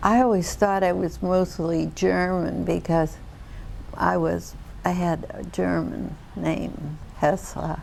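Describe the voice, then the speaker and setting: Here a woman with an American accent speaks at a very slow pace. Room echo is audible. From Ohio, US Midwest. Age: 70s. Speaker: interviewee. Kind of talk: family oral-history interview. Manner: halting.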